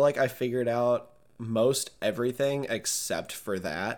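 In a very clean recording with a silent background, an unremarkable speaking voice carries ordinary pitch variation. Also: man. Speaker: podcast co-host. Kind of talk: casual chat.

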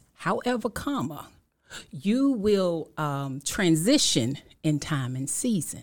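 On a very clean recording with a silent background, a speaker with an American accent talks at a very slow pace with very wide pitch swings. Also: woman, fairly low pitch for a woman. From Washington, D.C. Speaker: author and motivational speaker. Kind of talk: preaching-style testimony. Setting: studio. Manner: animated.

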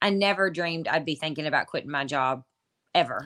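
A woman talks at a fairly quick pace in a Kentucky accent, with a bright, sharp tone. Her pitch varies in an ordinary way, and the recording is very clean with a silent background. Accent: Kentucky Southern US. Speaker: online entrepreneur and mom. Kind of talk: casual interview chat.

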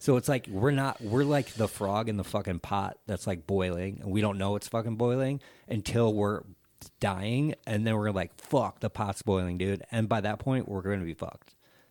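Moderate pacing in a normal speaking voice, pitch varying in an ordinary way, the recording very clean with total background silence. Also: man, fairly low pitch for a man. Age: 30s. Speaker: musician and political commentator. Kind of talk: casual chat.

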